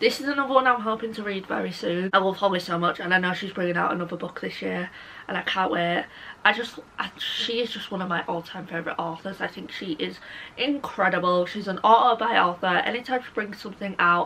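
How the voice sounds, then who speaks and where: Against noticeable background noise, a woman with a British accent talks at a very fast pace and medium pitch, with big swings in loudness and ordinary pitch variation. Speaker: book YouTuber. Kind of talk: casual chat. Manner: animated.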